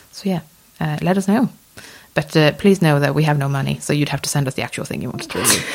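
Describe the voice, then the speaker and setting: Noticeable background noise sits under a woman's very deep, low voice. She talks very fast, with ordinary pitch variation. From Sweden. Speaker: objects conservator, podcast host. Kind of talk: casual chat.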